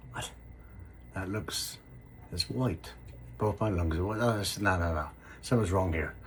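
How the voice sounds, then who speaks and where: A man's very deep, low voice with vocal fry, lively intonation, a moderate pace and long, frequent pauses. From England, Somerset. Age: 60s. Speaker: construction worker sharing illness story. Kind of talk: personal storytelling to camera. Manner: hesitant, many fillers.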